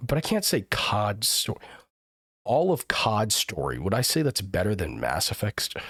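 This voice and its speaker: This man's fairly low voice carries vocal fry, swinging very widely in pitch at a moderate pace while his loudness stays very even. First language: not English. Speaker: live streamer. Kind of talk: casual chat. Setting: live stream.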